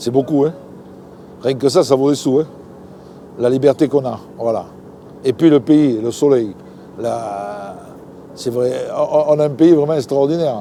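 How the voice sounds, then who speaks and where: A man talks at a fairly slow pace and medium pitch, with long, frequent pauses. Noticeable background noise sits behind him. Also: ordinary pitch variation. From southern France, Languedoc (Palavas-les-Flots). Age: 60s. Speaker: fisherman. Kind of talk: interview. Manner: casual, halting with repetitions.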